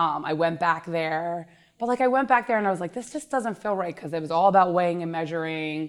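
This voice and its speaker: A very fast American accent on a very clean recording with a silent background. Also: woman, fairly low pitch for a woman, lively intonation. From Pennsylvania, King of Prussia area. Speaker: fitness coach. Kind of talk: casual interview.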